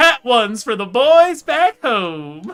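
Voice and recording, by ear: Using a put-on character voice, the speaker talks at a fairly slow pace with a fairly high pitch and very wide pitch swings.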